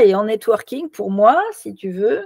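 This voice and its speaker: A woman speaks in an ordinary speaking voice, fairly high-pitched, with lively intonation and a dry, close sound with no echo. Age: 60s. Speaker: networking consultant and author. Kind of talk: interview.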